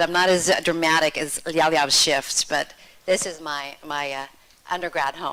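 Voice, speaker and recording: With an American accent, a woman talks at a moderate pace in a plain, everyday voice, fairly low in pitch. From United States. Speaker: yoga teacher. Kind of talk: self-introduction at workshop.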